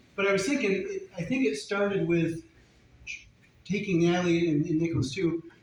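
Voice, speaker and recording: A man's high-pitched voice with noticeable background noise. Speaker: father of the bride. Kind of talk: wedding speech. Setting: wedding reception. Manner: fast.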